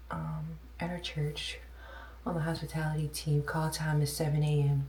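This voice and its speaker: The delivery moves at a moderate pace. Noticeable background noise and audible room echo are present. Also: woman. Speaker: lifestyle vlogger. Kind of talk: casual vlog talk. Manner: hesitant, many ums.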